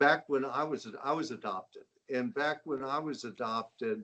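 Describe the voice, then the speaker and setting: A man's voice with vocal fry. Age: 70s. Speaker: adoptee and entrepreneur. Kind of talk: interview.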